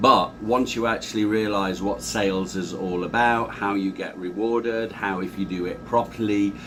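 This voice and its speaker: Noticeable background noise sits behind a man with a fairly low pitch. He talks at a moderate pace with fairly even intonation and hardly any pauses. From northern England, Doncaster. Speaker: sales trainer. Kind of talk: interview.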